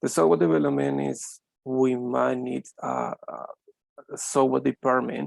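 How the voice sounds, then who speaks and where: The man's speech has a dry, close sound with no echo. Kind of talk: business presentation.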